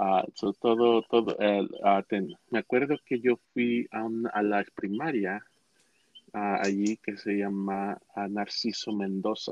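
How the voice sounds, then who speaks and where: A very slow pace and fairly even intonation, with a dry, close sound and no echo. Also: man, fairly low pitch for a man. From Mexico, Cuautla, Morelos. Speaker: Mexican immigrant sharing his life story. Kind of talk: interview, personal storytelling. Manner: halting, many repetitions and fillers.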